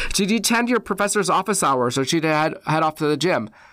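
With an American accent and lively intonation, a man uses a plain, everyday voice at a fairly high pitch. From Wisconsin. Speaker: university orientation director. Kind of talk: podcast interview.

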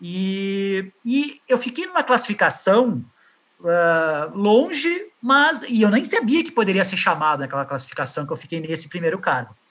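With a high pitch and very wide pitch swings, a man speaks at a fairly slow pace. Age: 30s. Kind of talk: interview. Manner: halting.

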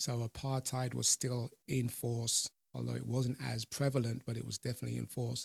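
A man talks with a British accent. The sound is dry and close, with no echo. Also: moderate pace. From UK, of Jamaican parents. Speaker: podcast host and personal development coach. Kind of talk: interview. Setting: video call.

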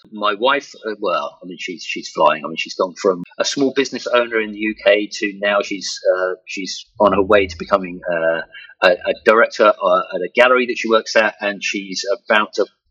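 A man with a southern English accent talks at a moderate pace with hardly any pauses. His loudness swings widely. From southern England. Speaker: virtual reality professional. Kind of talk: interview. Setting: online interview. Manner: halting, many fillers and repeats.

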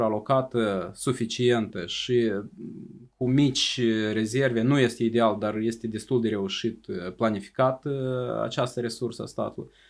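Delivered at a moderate pace in an ordinary speaking voice, the speech comes through a very clean recording with a silent background. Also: man. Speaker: government official, state secretary for the economy. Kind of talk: interview. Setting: studio.

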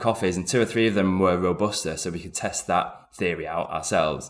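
A man in a British accent with ordinary pitch variation. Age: 40s. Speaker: coffee company founder. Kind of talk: interview.

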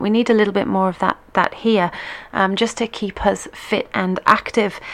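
In a British accent, the speaker talks at a moderate pace. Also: woman. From Britain. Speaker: internet radio host and line dance teacher. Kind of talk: radio show presenting, casual. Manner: chatty, many filler words.

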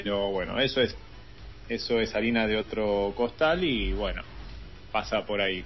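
Music plays in the background. Over it, a man talks at a fairly slow pace. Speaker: radio co-host. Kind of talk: casual chat.

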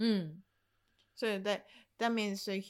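A woman talks with a Japanese accent on a very clean recording with a silent background. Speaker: video game podcast co-host. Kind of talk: casual chat. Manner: halting.

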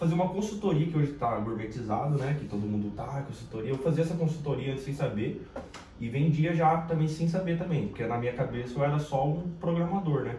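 There is audible room echo around a man's fairly high pitch. He talks at a fairly quick pace with ordinary pitch variation. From São Paulo, Brazil (capital and interior). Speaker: sales professional and business partner. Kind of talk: casual chat.

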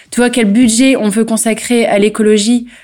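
Her pace is moderate. This woman speaks in a fairly high register. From northern France, local to the town. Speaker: organic farmer and local councillor. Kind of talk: interview. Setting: on location at her farm. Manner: halting, many repetitions and fillers.

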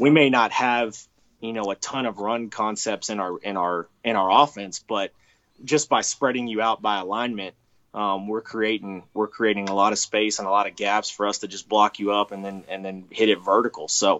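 Using an ordinary speaking voice, a man with a fairly low pitch talks at a moderate pace with fairly even intonation. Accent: American. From Texas. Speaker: college football coach. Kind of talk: interview.

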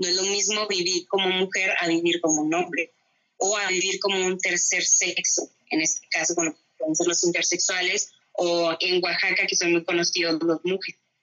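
At a moderate pace, a woman of medium pitch speaks with monotone, flat intonation and very even loudness. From northern Mexico (Ciudad Juárez, Chihuahua). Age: 20s. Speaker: anthropology graduate. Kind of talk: interview. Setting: remote recording.

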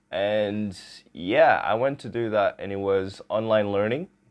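This man speaks in a Portuguese accent. His pitch is fairly low. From Portugal. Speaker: podcast host. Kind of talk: solo podcast monologue.

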